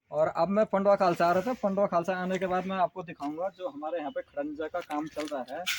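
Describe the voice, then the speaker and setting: Hardly pausing at all, a man with a high voice talks at a moderate pace with ordinary pitch variation, the sound dry and close with no echo. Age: 40s. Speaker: village vlogger. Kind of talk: walking vlog with interviews.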